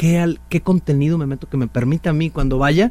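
A man talks at a very fast pace. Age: 40s. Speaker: author and leadership speaker. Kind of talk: casual interview.

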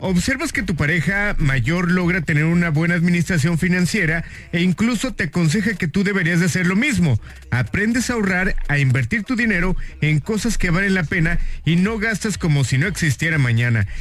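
Over noticeable background noise, a man with a high pitch talks at a fairly quick pace, his intonation lively and his loudness very even. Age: 30s. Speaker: radio host. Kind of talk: casual radio chat.

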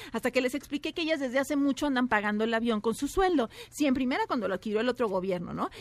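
At a very fast pace, a woman speaks with a high pitch, lively intonation, and very even loudness over noticeable background noise. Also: hardly any pauses, dry, close sound with no echo. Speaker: entertainment and gossip commentator. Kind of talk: scripted comedic gossip segment.

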